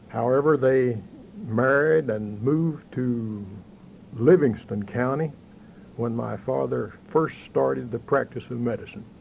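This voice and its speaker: A man with a western Kentucky accent, medium-pitched, at a fairly slow pace and with ordinary pitch variation. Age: 60s. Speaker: interviewee, local banker. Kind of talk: oral history interview. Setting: local bank office.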